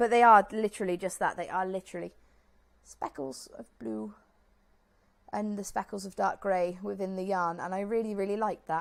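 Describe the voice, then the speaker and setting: Here a woman speaks at a medium pitch with ordinary pitch variation. Her loudness swings widely. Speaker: knitting podcaster. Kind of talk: casual vlog chat. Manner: fast.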